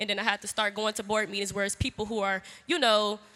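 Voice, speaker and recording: The voice of this woman is bright and sharp in tone. She talks loud. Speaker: student activist. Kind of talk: panel discussion. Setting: stage with audience.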